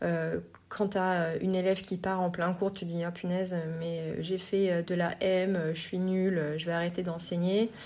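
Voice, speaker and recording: A woman with a dark, mellow tone speaks at a medium pitch and a fairly slow pace. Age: 40s. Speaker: yoga teacher and podcast host. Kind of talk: personal monologue podcast. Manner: hesitant, many filler words.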